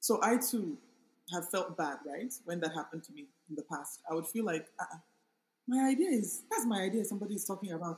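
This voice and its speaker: With an unremarkable speaking voice, a woman talks at a fairly quick pace at medium pitch, her intonation lively and her loudness swinging widely. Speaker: author and project manager. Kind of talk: casual interview conversation. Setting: in a room with air conditioning.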